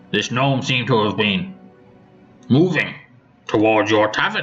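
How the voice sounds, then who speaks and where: A man uses a put-on character voice with lively intonation. He speaks at a moderate pace as faint music plays in the background. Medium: actual play. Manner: formal, authoritative.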